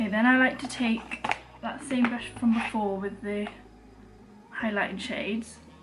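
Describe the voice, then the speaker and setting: A woman with a Welsh accent talks at a moderate pace in a fairly high, monotone, flat voice. She leaves long, frequent pauses, and there is noticeable background noise. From Wales. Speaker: beauty vlogger. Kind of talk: makeup tutorial talk to camera. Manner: casual, chatty.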